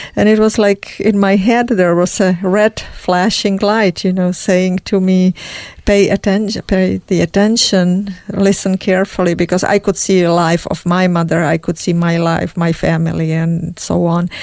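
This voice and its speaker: A woman with a Czech accent at a medium pitch and moderate pace, monotone, flat intonation, very even loudness, hardly any pauses. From Czech Republic. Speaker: emigrant sharing life story. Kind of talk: interview testimony. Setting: studio.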